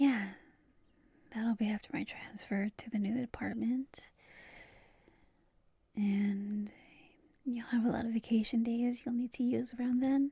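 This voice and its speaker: A soft-spoken voice comes through a dry sound with no echo and a quiet background. Long, frequent pauses break up the speech. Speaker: voice actor playing girlfriend. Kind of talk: scripted roleplay monologue. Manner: drowsy, slow, soft late-night talk.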